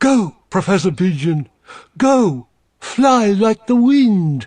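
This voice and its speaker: Putting on a character voice, a man speaks very slowly at a high pitch with very wide pitch swings. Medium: read story.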